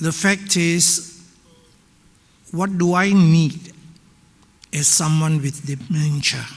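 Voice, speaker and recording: A man with a high pitch speaks at a very slow pace, leaving long, frequent pauses. Noticeable background noise is present. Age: 80s+. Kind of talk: audience remarks at panel discussion. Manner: halting.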